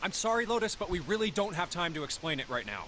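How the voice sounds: A man's put-on character voice, high-pitched, bright and sharp in tone, fast-paced with big pitch swings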